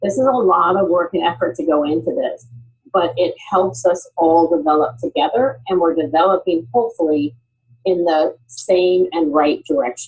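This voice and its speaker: At a moderate pace, a woman with a plain, everyday voice speaks in a fairly low pitch with lively intonation. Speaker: HR talent development executive. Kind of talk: panel presentation.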